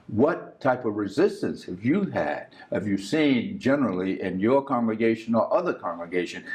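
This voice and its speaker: This man speaks at a medium pitch and a moderate pace, with very wide pitch swings. Noticeable background noise runs behind him. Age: 70s. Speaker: TV talk show host. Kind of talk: interview.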